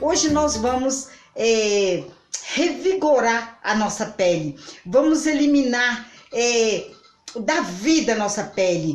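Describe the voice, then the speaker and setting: Faint music plays in the background and room echo is audible as the speaker, in a Brazilian accent, talks very slowly with long, frequent pauses and very wide pitch swings. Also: woman, high pitch for a woman. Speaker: home remedy vlogger. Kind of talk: tutorial. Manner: halting. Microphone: phone near.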